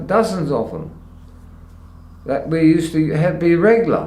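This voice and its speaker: This man's voice is pitched high. He speaks fairly slowly. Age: 70s. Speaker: retired trucking boss, driver and mechanic. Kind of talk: interview answer. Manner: rambling, hesitant.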